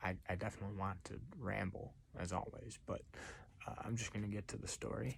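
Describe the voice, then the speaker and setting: He is soft-spoken. The man keeps a moderate pace. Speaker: storyteller. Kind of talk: reading aloud; casual chat. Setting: late at night.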